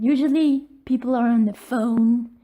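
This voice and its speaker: A woman with a non-native accent speaks in a high pitch with a dark, mellow tone and fairly even intonation. The recording is very clean, with a silent background. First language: not English. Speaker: art vlogger. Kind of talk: casual tutorial. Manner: halting, stammering.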